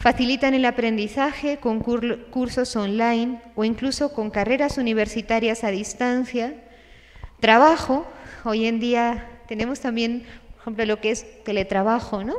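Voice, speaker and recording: A woman speaks fairly slowly in a plain, everyday voice. Her pitch is fairly high and her intonation fairly even. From Spain. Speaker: religious sister and speaker. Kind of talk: conference talk. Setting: stage with audience, livestreamed. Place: hall. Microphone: podium.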